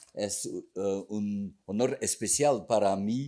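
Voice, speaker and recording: A man's very slow, fairly low voice with a dark, mellow tone, on a very clean recording with a silent background. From Belgium (Flanders). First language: Dutch (Flemish) (speaking Spanish). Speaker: book author. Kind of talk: formal speech at book presentation.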